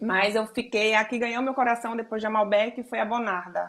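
A woman speaks at a moderate pace in a plain, everyday voice. Her pitch sits fairly high. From Brazil, Alagoas (Northeast). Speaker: photographer. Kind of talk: interview.

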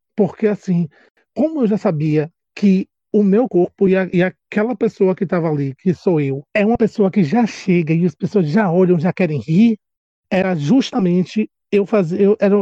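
A man with a Bahian accent in a high voice, dark and mellow in tone, at a moderate pace with ordinary pitch variation and a dry, close sound with no echo. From Brazil, Salvador, Bahia. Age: 30s. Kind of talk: casual chat.

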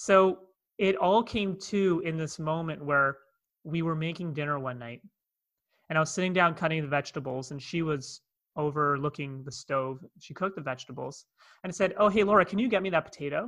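The speaker has a Canadian accent and talks at a fairly quick pace. The loudness swings widely against a quiet background. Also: man, fairly high pitch for a man, ordinary pitch variation. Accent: Canadian, North American. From Toronto, Canada. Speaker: speaker and transformation coach. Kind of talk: casual interview, storytelling. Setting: video call.

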